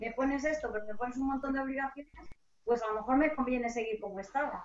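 A woman talks at a fairly quick pace in a high pitch, her intonation fairly even. Audible room echo and light background noise come through. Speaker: lawyer. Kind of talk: panel discussion. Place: home room. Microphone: too quiet, sounds far away; webcam.

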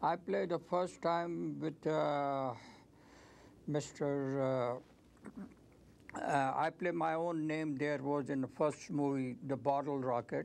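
A man at a very slow pace with ordinary pitch variation. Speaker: actor guest. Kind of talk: interview answer. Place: studio. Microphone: lapel.

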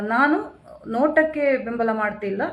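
With audible room echo, a woman speaks at a fairly high pitch and with lively intonation. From Kasaragod, Kerala (Kannada-speaking border area). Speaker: social activist. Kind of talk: live-stream monologue.

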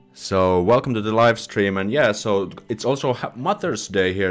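Faint music plays in the background as a man speaks at a fairly low pitch. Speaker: live streamer. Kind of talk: casual live stream chat. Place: home room. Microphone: studio mic.

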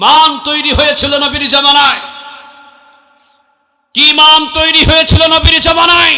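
A man's raised, projected voice, extremely high in pitch, with monotone, flat intonation. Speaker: Islamic preacher. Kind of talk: waz sermon to a crowd, motivational. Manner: loud, forceful, rhetorical.

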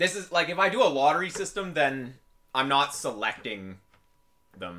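A man talks with a bright, sharp tone and vocal fry. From western Canada. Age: 20s. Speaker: video game coach and streamer; video game coach, streamer. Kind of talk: live stream coaching chat. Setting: home basement, live stream. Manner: casual, animated. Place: home room.

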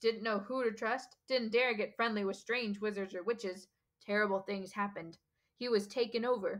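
The setting is quiet as an unforced reading voice carries the text.

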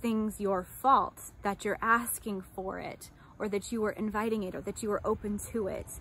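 With an American accent, a woman speaks at a moderate pace in a fairly high, somewhat breathy voice with ordinary pitch variation, and the sound is dry with no echo. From United States. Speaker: life coach and army veteran. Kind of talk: personal testimony vlog. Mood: earnest, reflective. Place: garden. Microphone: phone near.

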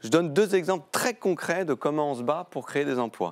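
A man's voice swings very widely in pitch over a quiet background. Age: 40s. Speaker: member of parliament; guest. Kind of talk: televised political debate. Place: studio. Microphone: lapel.

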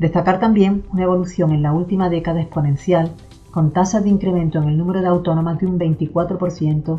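Faint music plays behind a woman's voice. Her pitch sits fairly low, and her intonation stays flat and monotone. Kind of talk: formal address. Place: office. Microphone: camera far.

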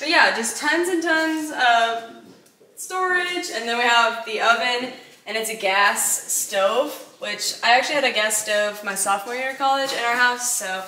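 There is audible room echo as a woman talks at a moderate pace, her high pitch carried by lively intonation. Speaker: homeowner vlogger. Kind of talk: casual vlog chat. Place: kitchen. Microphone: camera far.

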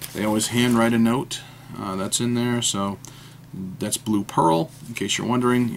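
Over light background noise, a man with an American accent talks at a moderate pace with ordinary pitch variation. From New Hampshire, US. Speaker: fountain pen YouTuber. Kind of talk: casual unboxing monologue. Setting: at home desk. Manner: hesitant, many fillers.

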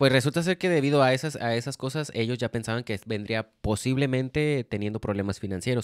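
A man talks at a fairly quick pace with lively intonation. The sound is dry with no echo, and the background is quiet. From Mexico. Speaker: podcast co-host. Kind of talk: casual chat. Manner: casual, slangy. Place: home room. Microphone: handheld.

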